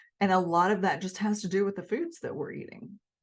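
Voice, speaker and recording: A woman with a Southern US accent talks at a fairly quick pace. Her pitch is medium, and the background is quiet. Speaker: health and nutrition video creator. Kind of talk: casual educational monologue.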